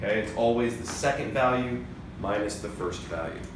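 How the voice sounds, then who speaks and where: Moderately paced speech from a man at a medium pitch, amid audible room echo and noticeable background noise. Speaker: math teacher. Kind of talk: lecture. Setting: recorded video lecture.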